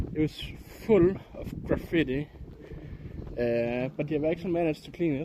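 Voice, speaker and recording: A man with a Danish accent at a moderate pace, with long, frequent pauses. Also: ordinary pitch variation. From Denmark. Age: 30s. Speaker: IRL streamer. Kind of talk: casual live-stream chat. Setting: outdoors. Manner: hesitant, with frequent fillers.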